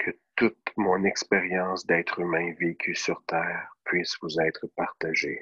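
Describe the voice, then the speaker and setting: In a Quebec accent, a man speaks at a very slow pace, the sound dry and close with no echo. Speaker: meditation guide. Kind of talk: guided meditation.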